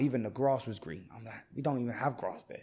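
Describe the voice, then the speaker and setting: Ordinary pitch variation from a man with a London accent. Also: very clean recording, silent background. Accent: London English (multicultural London). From Iraq (Baghdad), then southwest London from age 9. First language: Arabic. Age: 30s. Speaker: barber and entrepreneur. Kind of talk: casual interview chat. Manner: casual, halting with repetitions.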